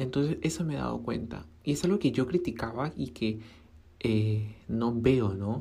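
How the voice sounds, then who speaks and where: A woman's very deep, low pitch with very wide pitch swings at a fairly slow pace. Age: 20s. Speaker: podcaster and small fashion brand owner. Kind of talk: casual solo monologue.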